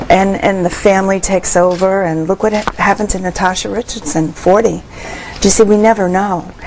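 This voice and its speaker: With noticeable background noise around her, a woman at a medium pitch talks at a fairly quick pace. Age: 60s. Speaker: mother of young twins, healing musician. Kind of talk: TV interview. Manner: animated.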